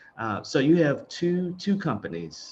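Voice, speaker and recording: Very wide pitch swings mark the speech of a man. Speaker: podcast host. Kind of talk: interview. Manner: halting.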